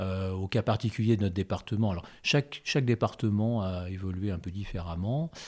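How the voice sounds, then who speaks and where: On a very clean recording with a silent background, a man speaks at a moderate pace with a fairly low pitch, a dark, mellow tone, and ordinary pitch variation. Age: 60s. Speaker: agricultural cooperative director. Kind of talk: interview. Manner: hesitant, many fillers.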